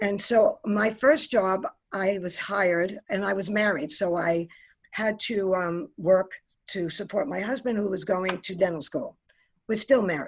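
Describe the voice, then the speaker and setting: Her fairly slow delivery comes from a woman with a New York accent, a medium pitch and ordinary pitch variation. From New York City, Queens. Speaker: aviation industry executive. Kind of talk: career talk.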